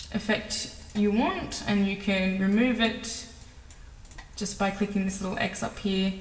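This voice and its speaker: Noticeable background noise and audible room echo surround a woman speaking at a fairly slow pace and a medium pitch. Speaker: video editing tutorial creator. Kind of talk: tutorial. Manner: casual, filler-heavy.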